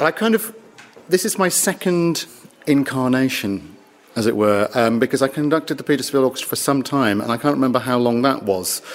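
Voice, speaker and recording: Noticeable background noise surrounds a man talking at a fairly quick pace with a medium pitch. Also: lively intonation. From northern England. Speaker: orchestra conductor. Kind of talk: casual interview chat.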